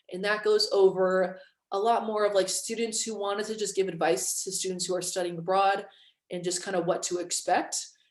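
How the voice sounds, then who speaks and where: A woman's medium-pitched voice at a fairly quick pace, fairly even in intonation, with audible room echo. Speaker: student recruiter. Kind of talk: presentation. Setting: video call. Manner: casual.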